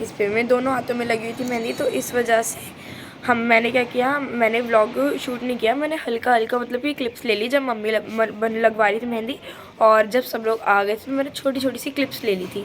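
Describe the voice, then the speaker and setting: A woman with a fairly high pitch talks at a moderate pace in a flat monotone over noticeable background noise. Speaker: vlogger. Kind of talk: casual vlog narration. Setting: balcony.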